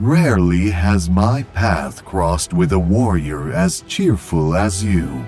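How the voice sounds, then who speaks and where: A man puts on a character voice with a very deep, low pitch. He goes at a fairly slow pace over clear music in the background. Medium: fan dub. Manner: calm, serene.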